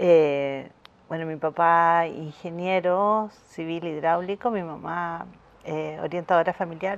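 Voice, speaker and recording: Her voice is fairly low for a woman. She talks very slowly. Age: 50s. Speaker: visual artist and printmaking teacher. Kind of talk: interview. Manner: halting, with frequent repetitions.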